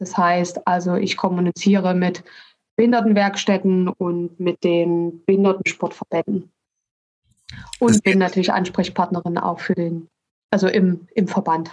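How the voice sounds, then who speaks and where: In a slight Saxon accent, a woman at medium pitch speaks at a moderate pace with monotone, flat intonation and long, frequent pauses, the sound dry and close with no echo. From Saxony, Dresden. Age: 30s. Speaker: sports association inclusion manager. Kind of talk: casual interview. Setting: video call.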